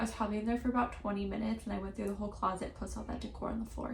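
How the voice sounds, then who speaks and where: A woman whispers over noticeable background noise. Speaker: lifestyle vlogger. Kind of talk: casual vlog narration. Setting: at home. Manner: whispering.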